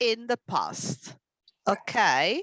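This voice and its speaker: A woman speaks with music in the background. The sound is dry and close, with no echo. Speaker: English teacher. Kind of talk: online language lesson.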